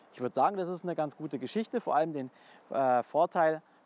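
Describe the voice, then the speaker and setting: A man speaks. The sound is dry, with no echo. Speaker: car reviewer. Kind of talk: car review summary to camera. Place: street.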